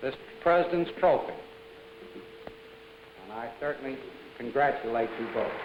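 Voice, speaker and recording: Lively intonation at a moderate pace, with long, frequent pauses and noticeable background noise. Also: man, fairly high pitch for a man. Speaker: company president. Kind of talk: award ceremony speech.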